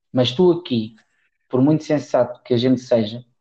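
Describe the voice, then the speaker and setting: A man is talking. The background is quiet. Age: 30s. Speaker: football coach. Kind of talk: casual interview.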